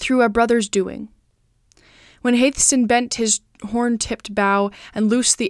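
In a solemn, dramatic tone, a woman speaks at a moderate pace with fairly even intonation. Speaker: podcast host and narrator reading literature aloud. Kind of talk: audiobook-style reading aloud of an epic poem. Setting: home recording, cat nearby. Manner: measured, solemn storyteller pace with formal, dramatic cadence; warm, friendly and earnest when speaking as herself.

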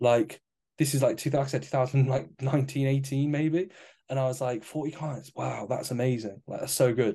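Against a quiet background, a man with an English accent speaks in a dark, mellow, somewhat breathy tone with fairly even intonation. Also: medium pitch for a man, moderate pace. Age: 20s. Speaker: fitness coach and podcast co-host. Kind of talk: casual chat.

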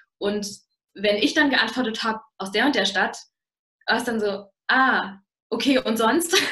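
A woman speaks with lively intonation at a fairly slow pace. Her pauses are long and frequent. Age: young. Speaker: university student. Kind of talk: interview talk.

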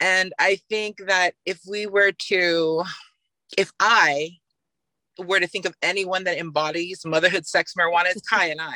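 Speaking at a fairly slow pace, a woman with a medium pitch and a bright, sharp tone keeps her intonation fairly even, captured dry and close with no echo on a very clean recording with a silent background. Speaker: podcast co-host and mother. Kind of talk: casual chat.

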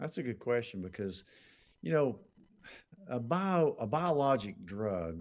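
A man speaks at a fairly slow pace in a very clean recording with a silent background. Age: 60s. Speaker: doctor answering health questions. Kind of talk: live Q&A show. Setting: live stream with comments.

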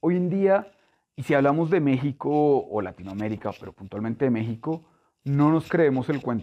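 In a normal speaking voice, a man talks at a moderate pace with a fairly high pitch. His intonation is lively. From Colombia, Bogotá. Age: 30s. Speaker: chemical industry sales director. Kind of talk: interview.

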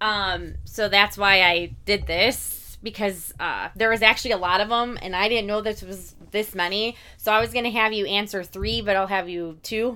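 A woman with an American accent talks at a moderate pace, her medium pitch carrying a bright, sharp tone. Intonation stays fairly even on a very clean recording with a silent background. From Indiana, US Midwest. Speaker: horror podcast co-host. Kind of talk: casual chat. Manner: laughs often.

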